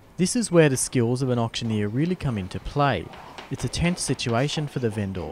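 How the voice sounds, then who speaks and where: With an Australian accent, a man talks at a fairly quick pace and a medium pitch, his intonation lively. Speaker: reporter. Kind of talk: scripted narration.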